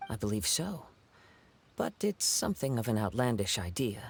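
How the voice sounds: Putting on a character voice, a man speaks at a moderate pace and medium pitch, with vocal fry, a slightly husky edge and big pitch swings.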